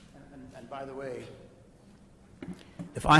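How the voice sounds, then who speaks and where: A man speaks with an American accent, sounding somewhat breathy. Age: 80s+. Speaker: resident speaking at public comment. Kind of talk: public comment at council meeting. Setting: village council meeting. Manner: emphatic.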